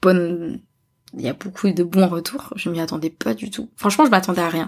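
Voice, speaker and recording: A normal speaking voice from a woman, mid-range in pitch, its rise and fall typical. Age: 30s. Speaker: podcaster. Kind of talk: casual chat.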